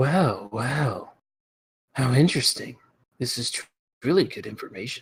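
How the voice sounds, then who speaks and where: Using a put-on character voice of medium pitch, a man speaks at a moderate pace with long, frequent pauses. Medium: actual play. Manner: coy, evasive.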